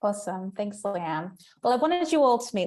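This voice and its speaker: An unremarkable speaking voice from a woman, medium in pitch, with lively intonation and a fairly quick pace. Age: 30s. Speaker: festival general manager. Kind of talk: online presentation. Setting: video call from home kitchen.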